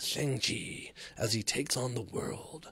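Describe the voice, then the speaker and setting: A put-on character voice from a man, medium in pitch, at a fairly slow pace. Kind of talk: casual podcast commentary. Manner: dramatic, epic.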